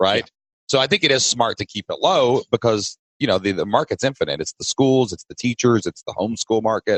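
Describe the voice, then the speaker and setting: Very fast speech comes from a man with a Southern US accent and a medium pitch. The sound is dry and close with no echo. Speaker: podcast host. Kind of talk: casual podcast conversation.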